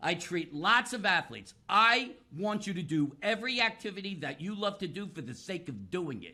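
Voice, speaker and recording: At a moderate pace and with hardly any pauses, a man projects a raised, high-pitched voice with a bright, sharp tone and big swings in loudness. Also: lively intonation. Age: 60s. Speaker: physical therapist. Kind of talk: podcast interview. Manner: animated.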